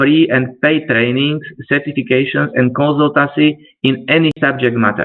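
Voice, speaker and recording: Speaking with a non-native accent, a man uses a fairly high pitch with ordinary variation at a fairly slow pace. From Slovakia. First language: Slovak. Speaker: trainer. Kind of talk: webinar presentation. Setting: online webinar. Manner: halting.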